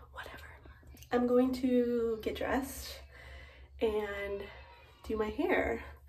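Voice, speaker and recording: This woman's intonation stays fairly even. Faint music plays in the background. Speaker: mom vlogger. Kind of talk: casual vlog chat. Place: bathroom. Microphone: phone near.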